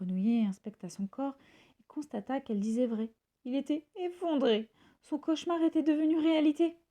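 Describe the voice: A woman's high voice, dark and mellow in tone, with ordinary pitch variation. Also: moderate pace.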